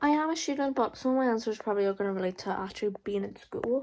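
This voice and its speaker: A woman's voice at a fairly quick pace, with very wide pitch swings. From Ireland, County Monaghan. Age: 20s. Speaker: college student vlogger. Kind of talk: casual Q&A vlog. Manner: hesitant, lots of fillers.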